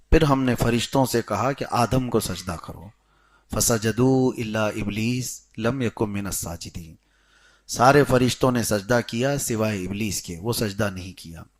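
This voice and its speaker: An ordinary speaking voice from a man, medium in pitch with ordinary pitch variation, on a very clean recording with a silent background. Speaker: Islamic scholar giving a sermon. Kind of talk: Islamic lecture explaining Quran commentary and prayer rulings.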